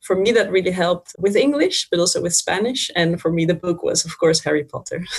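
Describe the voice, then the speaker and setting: A woman with a Dutch accent speaks fairly quickly with hardly any pauses. Her pitch variation is ordinary, and there is noticeable background noise. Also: medium pitch for a woman. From Netherlands, Friesland. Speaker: language teacher. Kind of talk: interview.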